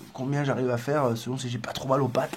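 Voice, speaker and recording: A man speaks in a somewhat breathy voice. Audible room echo surrounds the recording. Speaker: vlogger traveling on foot. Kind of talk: casual vlog to camera. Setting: indoors in a building entrance hall. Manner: soft-spoken; hesitant, many fillers.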